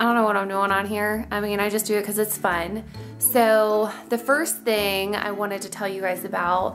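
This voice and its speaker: Clear music plays behind a woman speaking at a moderate pace. Her intonation is monotone and flat. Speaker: vlogger. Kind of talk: casual vlog chat. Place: home room. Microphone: phone near.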